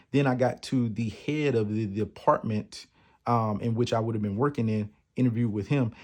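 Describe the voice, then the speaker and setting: Against a quiet background, a man with an American accent speaks at a moderate pace in a medium-pitched voice. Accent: strong country. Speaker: podcast host. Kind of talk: personal testimony. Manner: casual, conversational.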